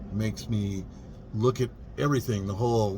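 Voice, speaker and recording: Somewhat breathy and dark, mellow in tone, a man speaks at a fairly low pitch and a fairly quick pace with fairly even intonation. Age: 50s. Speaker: vlogger, vintage RV traveler. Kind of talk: casual vlog monologue. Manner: relaxed, reflective.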